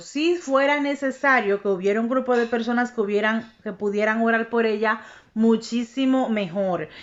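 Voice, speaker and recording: Animated in tone, a woman speaks at a fairly slow pace with a fairly high pitch and ordinary pitch variation. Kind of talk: religious teaching monologue.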